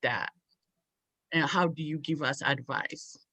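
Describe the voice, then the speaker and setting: Against a quiet background, a woman talks fairly slowly in a fairly low voice. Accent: non-native. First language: not English. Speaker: parent in audience. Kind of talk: audience question. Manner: halting.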